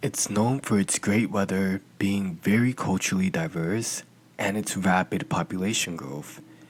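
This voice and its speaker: The speaker is soft-spoken with a slight non-native accent. The pace is fairly slow. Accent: slightly non-native pronunciation. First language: not English. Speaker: true crime podcaster. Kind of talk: scripted narration.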